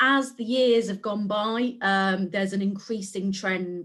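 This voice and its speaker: Here a woman speaks with an English Midlands accent. Her pace is moderate and her intonation fairly even. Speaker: civil servant. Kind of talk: webinar panel talk.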